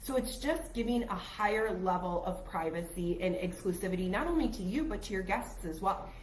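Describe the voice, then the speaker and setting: A woman with a medium pitch and lively intonation is heard with audible room echo and noticeable background noise. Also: fairly quick pace. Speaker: travel agent podcast co-host. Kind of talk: casual chat. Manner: quieter than usual.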